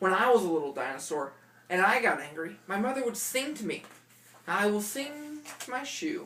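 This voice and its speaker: Putting on a character voice, a woman at a medium pitch makes very wide pitch swings at a moderate pace. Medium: read story.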